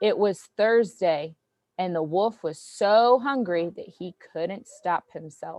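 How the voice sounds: Quiet background behind a natural reading voice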